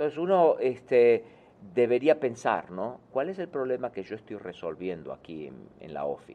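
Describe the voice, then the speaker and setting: At a moderate pace, a man talks at medium pitch with very wide pitch swings. His loudness swings widely too. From Argentina. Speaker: author and success speaker. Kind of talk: interview.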